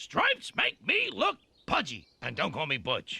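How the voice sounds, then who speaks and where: A man uses a cartoonish character voice at a moderate pace, recorded with a dry, close sound and no echo. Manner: earnest, slow.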